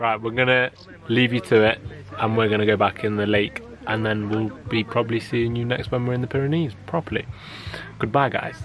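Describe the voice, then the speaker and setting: Over clear music in the background, the speaker talks at a fairly quick pace with fairly even intonation and a dry sound with no echo. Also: man. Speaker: travel vlogger. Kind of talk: casual vlog chat. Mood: relaxed and cheerful. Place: waterside. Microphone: phone near.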